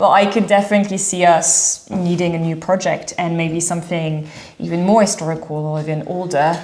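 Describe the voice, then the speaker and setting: Through noticeable background noise and audible room echo, a woman with a French accent talks fairly quickly at a fairly low pitch with fairly even intonation. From France, Dordogne. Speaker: renovation vlogger. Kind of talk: casual chat.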